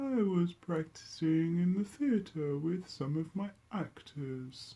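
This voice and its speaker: Fairly slow delivery in a put-on character voice, pitched in the middle. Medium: read story. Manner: posh, polite.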